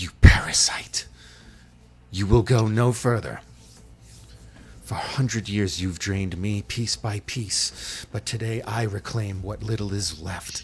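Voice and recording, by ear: In a put-on, robotic character voice, a man is soft-spoken at a fairly low pitch, moving at a fairly slow pace with long, frequent pauses.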